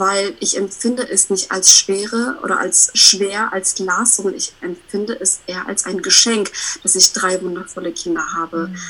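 A woman's medium-pitched voice with ordinary pitch variation, a moderate pace, big swings in loudness, and noticeable background noise. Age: 30s. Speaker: self-employed coach. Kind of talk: casual interview chat. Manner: animated.

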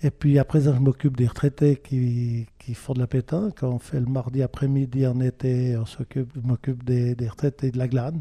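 At a moderate pace with hardly any pauses, a man of medium pitch speaks in a dark, mellow, somewhat breathy tone with fairly even intonation. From French-speaking Switzerland. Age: 70s. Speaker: retiree. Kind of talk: interview.

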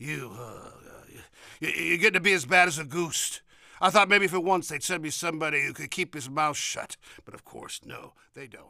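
Doing a gruff, put-on character voice, a man speaks at a moderate pace in a fairly high pitch with ordinary pitch variation and long, frequent pauses. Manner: curt, gruff, authoritative.

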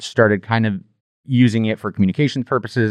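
A man's very fast speech, dry and close with no echo. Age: 40s. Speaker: school district media director. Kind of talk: casual interview chat.

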